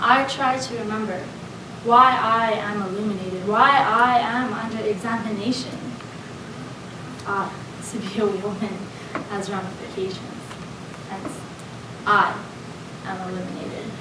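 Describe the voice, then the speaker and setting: A woman with a fairly high pitch speaks at a moderate pace, her intonation fairly even and her loudness swinging widely. Long, frequent pauses break her speech over noticeable background noise. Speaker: spoken word poet. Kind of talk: spoken word poetry performance. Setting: live event.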